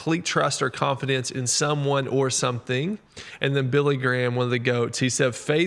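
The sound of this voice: An unforced reading voice, intonation fairly even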